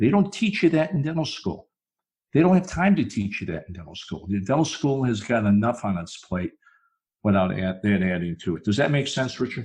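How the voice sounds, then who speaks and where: A man with a medium-pitched, somewhat breathy voice talks at a fairly quick pace, his pitch swinging very widely. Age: 60s. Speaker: dentist turned speaker and consultant. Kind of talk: podcast interview.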